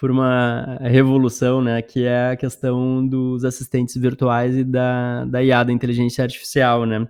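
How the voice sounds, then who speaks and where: A man with a Gaúcho Brazilian accent, medium in pitch, at a fairly slow pace against a quiet background. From Porto Alegre, Brazil. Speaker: podcast host. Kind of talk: casual interview chat.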